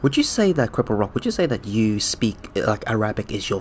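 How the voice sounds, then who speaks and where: A man speaks with a Cantonese accent at a medium pitch. His pace is moderate. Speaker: gaming streamer. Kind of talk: casual chat. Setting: live stream.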